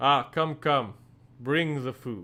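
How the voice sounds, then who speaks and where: A man performs in a put-on character voice. His pitch sits in the medium range. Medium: actual play. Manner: smooth, condescending.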